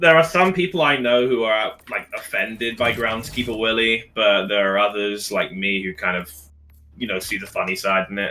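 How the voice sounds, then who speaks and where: A man speaks at a moderate pace with medium pitch and lively intonation. Music plays in the background. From Scotland. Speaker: gaming streamer. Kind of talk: casual chat.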